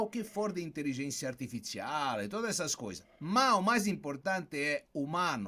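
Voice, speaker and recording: Very wide pitch swings mark this man's moderately paced speech. The recording is very clean, with a silent background. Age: 70s. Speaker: corporate wellbeing consultant. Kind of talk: interview.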